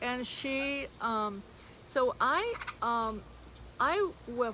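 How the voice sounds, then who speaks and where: Speaking with a high pitch, a woman is heard against noticeable background noise. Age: 80s+. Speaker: parrot sanctuary owner. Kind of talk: casual chat. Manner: halting.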